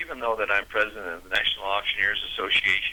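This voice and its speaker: Noticeable background noise sits behind a man with a fairly low pitch. He talks at a very fast pace in a monotone, flat intonation. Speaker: president of a national auctioneers association. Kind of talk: radio interview answer.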